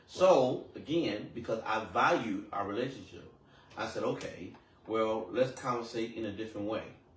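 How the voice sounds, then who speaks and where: A man speaks at a medium pitch. There is audible room echo. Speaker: podcast guest. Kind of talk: casual chat. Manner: fast.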